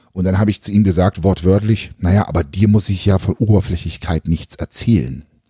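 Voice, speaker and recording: A man's very deep, low voice sounds dark, mellow and somewhat breathy. He moves at a fairly quick pace with ordinary pitch variation. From eastern Germany (former GDR). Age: 30s. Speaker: podcast host and bodybuilding YouTuber. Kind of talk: casual chat.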